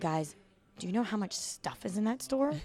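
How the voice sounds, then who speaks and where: With an American accent, a woman speaks at a very fast pace. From Virginia, US (Chesapeake/Norfolk). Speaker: traveling English teacher. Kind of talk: casual interview chat. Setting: outdoors at open-air hostel.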